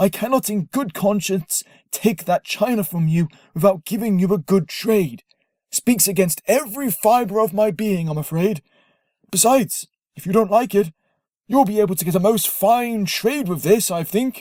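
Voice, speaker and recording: Middle pitch and a moderate pace in a put-on character voice. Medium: read story. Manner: warm, kindly, insistent.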